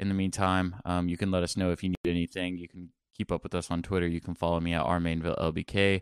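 A man's very deep, low voice, monotone and flat, at a very fast pace, dry and close with no echo, in a very clean recording with a silent background. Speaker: sports podcast host and beat reporter. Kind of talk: casual sports talk.

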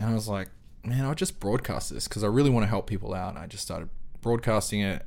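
Talking at a very fast pace, a man with an Australian accent uses a fairly low pitch and ordinary pitch variation. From South Auckland, New Zealand. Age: 30s. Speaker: camera operator. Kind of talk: casual interview conversation.

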